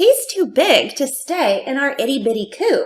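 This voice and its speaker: A woman puts on a squeaky character voice, pitched extremely high and swinging very widely up and down. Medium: read story. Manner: crowing.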